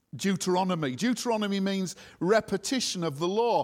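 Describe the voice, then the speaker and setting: Recorded very cleanly against a silent background, a man speaks at a moderate pace with ordinary pitch variation. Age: 60s. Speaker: preacher. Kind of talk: sermon. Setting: church with congregation.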